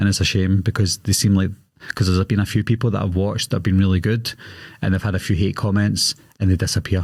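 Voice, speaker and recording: Over a very clean recording with a silent background, a man with a Glaswegian accent talks at a very fast pace in a fairly low, somewhat breathy voice, his intonation monotone and flat and his loudness very even. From Scotland, Glasgow. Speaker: horror movie YouTuber. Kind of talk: podcast interview. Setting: podcast studio.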